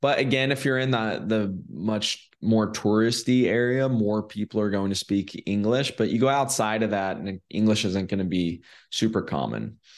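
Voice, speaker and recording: In a plain, everyday voice, a man with an American accent speaks at a fairly low pitch and a moderate pace. There are hardly any pauses, his pitch variation is ordinary, and the background is quiet. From California. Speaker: short-term rental investor. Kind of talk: interview.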